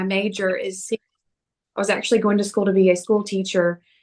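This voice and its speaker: A woman's medium-pitched voice at a very fast pace, with a slight Southern US accent. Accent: slight Southern twang. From US South. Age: 40s. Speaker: personal trainer. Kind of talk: fitness talk. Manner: animated.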